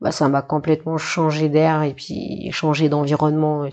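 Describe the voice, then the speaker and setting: This woman's voice is very deep and low, with monotone, flat intonation. She speaks at a fairly slow pace. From New Caledonia. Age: 20s. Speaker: teacher and clothing entrepreneur. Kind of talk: interview. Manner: casual, hesitant.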